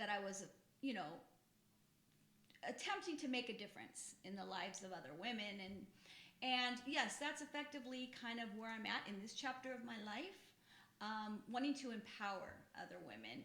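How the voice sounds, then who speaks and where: Bright and sharp, a woman's fairly high voice moves with lively intonation at a moderate pace. She leaves long, frequent pauses, and audible room echo surrounds her. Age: 50s. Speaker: podcast co-host, health background. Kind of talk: casual chat.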